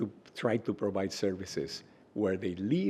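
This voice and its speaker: With a Spanish accent, a man talks at a fairly slow pace in a fairly low voice, his tone dark and mellow and his intonation fairly even. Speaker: health researcher and center director. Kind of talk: interview. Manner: hesitant, many fillers.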